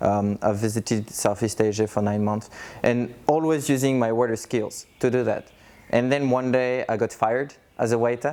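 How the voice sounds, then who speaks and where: Speaking with a French accent, a man at a medium pitch uses a dark, mellow tone, fairly even intonation, very even loudness and a moderate pace. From France. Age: 30s. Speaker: coach, digital nomad. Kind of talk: interview testimony.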